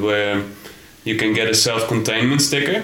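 A man speaks at a fairly quick pace with a medium pitch. Noticeable background noise sits behind him. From Netherlands. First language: Dutch. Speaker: backpacker. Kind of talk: casual chat. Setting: hostel in Thailand.

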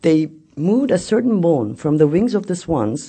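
This voice, with a Turkish accent, moves at a moderate pace with vocal fry. Its pitch swings very widely. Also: woman. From Turkey. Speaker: journalist and novelist. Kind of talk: talk.

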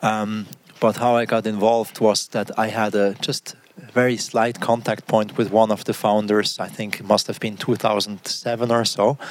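Amid noticeable background noise, a man with a fairly low pitch speaks at a moderate pace in a monotone, flat intonation. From Switzerland, Biel (German-French language border). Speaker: design leader at a running shoe company. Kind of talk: interview.

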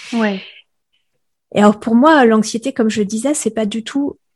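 At a moderate pace, a woman talks in a fairly high, somewhat breathy voice, the sound dry and close with no echo. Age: 40s. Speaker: podcaster and sensitivity coach. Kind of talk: interview. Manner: hesitant, many filler sounds.

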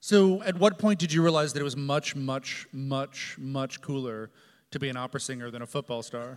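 A man with a fairly high pitch and ordinary pitch variation talks in an ordinary speaking voice. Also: moderate pace. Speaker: opera company executive. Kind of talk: interview in front of a live audience. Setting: stage with audience.

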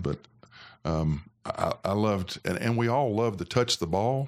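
In an Alabama accent, a man talks with lively intonation and a fairly low pitch. The recording is very clean, with a silent background. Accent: US Southern (Alabama). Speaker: former college football player. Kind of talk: casual interview. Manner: halting.

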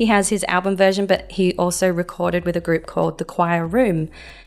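A woman speaks in an Australian accent at a moderate pace. Her pitch is medium. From Adelaide, South Australia. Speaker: church music minister. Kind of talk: interview. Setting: studio.

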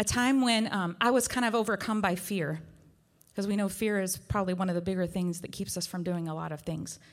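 On a very clean recording with a silent background, a woman with an American accent talks at a medium pitch with ordinary pitch variation. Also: fairly quick pace. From West Virginia. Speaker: worship leader. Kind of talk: sermon. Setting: church.

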